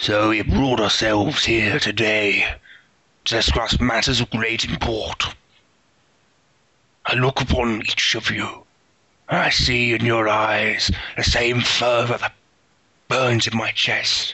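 A raspy, put-on character voice from a man at medium pitch, fairly slow, with long, frequent pauses. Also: very even loudness. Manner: grand, pompous, rousing.

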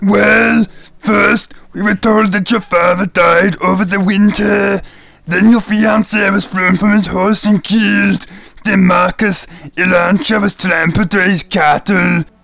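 This man has a raspy voice with a high pitch. He speaks at a fairly slow pace. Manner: blunt, accusing.

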